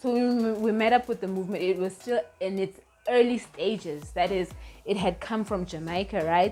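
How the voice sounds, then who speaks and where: Moderately paced speech with ordinary pitch variation, set against background music. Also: woman, medium pitch for a woman. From South Africa. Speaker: YouTuber and Rastafari commentator. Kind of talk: casual talk to camera. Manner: hesitant, many fillers.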